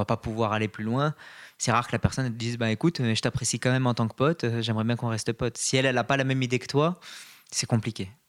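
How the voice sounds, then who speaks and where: The speech comes at a very fast pace with fairly even intonation, recorded dry and close with no echo in a very clean recording with a silent background. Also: man. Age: 20s. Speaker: podcast guest, dating app user. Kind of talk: casual chat.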